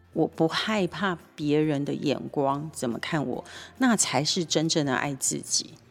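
A woman speaks at a very deep, low pitch with an animated tone. Her pace is fairly slow, with ordinary pitch variation. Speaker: nonprofit executive director and co-host. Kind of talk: casual radio chat about a TV drama.

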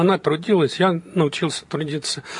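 A man's voice sits at a fairly high pitch, with ordinary pitch variation. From Belarus, Vitebsk region. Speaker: professor and businessman. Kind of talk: interview.

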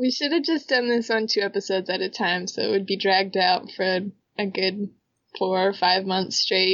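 A woman with an ordinary speaking voice, medium pitch and ordinary pitch variation. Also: moderate pace. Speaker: podcast co-host. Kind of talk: casual chat.

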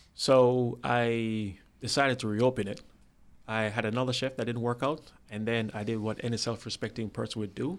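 A man with an American accent, medium pitch and fairly even intonation at a moderate pace, on a very clean recording with a silent background. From Jamaica (Spanish Town). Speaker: restaurant entrepreneur and former executive. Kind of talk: interview. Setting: studio.

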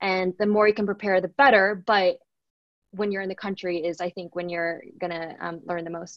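With an American accent, a woman talks at a moderate pace in an unremarkable speaking voice, her medium pitch and intonation fairly even. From Texas, Dallas. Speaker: tech sales professional. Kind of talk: podcast interview.

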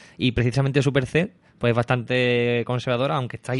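A man at medium pitch and a fairly quick pace, a normal speaking voice, with a dry, close sound with no echo and a quiet background. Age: 30s. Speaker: podcast host. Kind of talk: casual interview.

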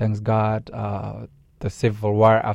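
A man with a Somali accent speaks in a fairly low voice with a dark, mellow tone. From Somalia. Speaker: nonprofit director. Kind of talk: radio interview. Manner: halting, many fillers and repetitions.

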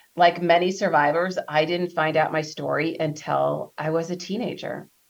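An ordinary speaking voice from a woman, fairly low in pitch, with ordinary pitch variation and a moderate pace. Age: 40s. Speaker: abortion survivor advocate. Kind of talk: interview.

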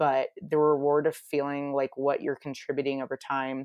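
A woman speaks with a very deep, low pitch on a very clean recording with a silent background. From United States. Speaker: marketing executive. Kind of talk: interview.

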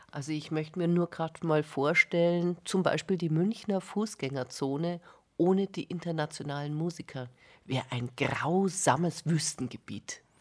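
A woman uses a normal speaking voice at a fairly low pitch with ordinary pitch variation. She talks at a moderate pace in a very clean recording with a silent background. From Bavaria. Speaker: music journalist, cultural scientist. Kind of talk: radio interview. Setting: radio studio.

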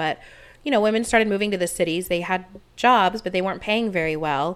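A woman speaks at medium pitch in an unremarkable speaking voice. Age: 30s. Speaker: podcast co-host. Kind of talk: casual chat.

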